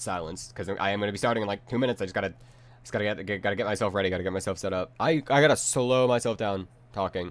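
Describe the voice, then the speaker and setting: Over a very clean recording with a silent background, a man with a fairly low pitch talks at a very fast pace with ordinary pitch variation. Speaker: streamer. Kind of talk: live-stream roleplay commentary.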